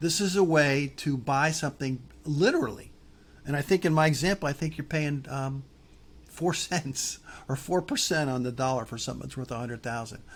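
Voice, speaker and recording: Speech comes at a fairly quick pace in a somewhat breathy voice. The background is silent on this very clean recording. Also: man. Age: old. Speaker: real estate investing teacher. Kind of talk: tutorial. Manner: halting.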